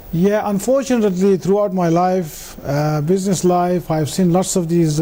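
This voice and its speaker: Against noticeable background noise, a man speaks in a high pitch. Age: 60s. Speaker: businessman. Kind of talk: interview on live business show. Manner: hesitant, many fillers.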